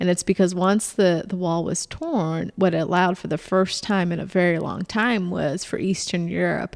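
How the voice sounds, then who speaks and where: With fairly even intonation and a fairly low pitch, a woman talks at a moderate pace on a very clean recording with a silent background. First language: Bulgarian. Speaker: political candidate. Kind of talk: podcast interview.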